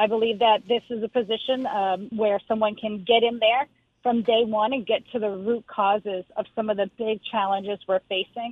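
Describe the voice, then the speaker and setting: A woman with an American accent has an unremarkable speaking voice at a fairly high pitch. She speaks with fairly even intonation and hardly any pauses. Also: moderate pace. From Lowell, Massachusetts. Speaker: politician, state representative. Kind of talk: radio interview. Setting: phone call.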